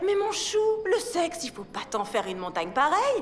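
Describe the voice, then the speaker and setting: Very wide pitch swings from a woman at a moderate pace, noticeable background noise behind her. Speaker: voice actor. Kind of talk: comedic monologue. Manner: casual, comedic, chatty.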